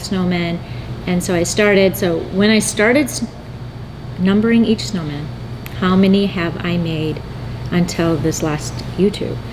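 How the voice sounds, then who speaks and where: A woman's medium pitch with ordinary variation at a moderate pace, amid noticeable background noise and audible room echo. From North Dakota. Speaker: needle felting artist and channel host. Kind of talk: casual chat.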